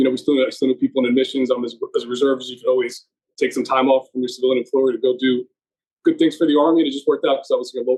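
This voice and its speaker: Someone talks at a very fast pace in a Northeast US accent. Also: man. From US Northeast, central New Jersey. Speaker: army reservist and healthcare manager. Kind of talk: podcast interview. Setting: podcast recording.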